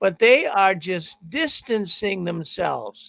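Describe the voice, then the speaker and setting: Very slowly, a man speaks in a high voice with a bright, sharp tone and a dry, close sound with no echo. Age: 70s. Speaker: talk show host. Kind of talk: call-in show. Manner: animated.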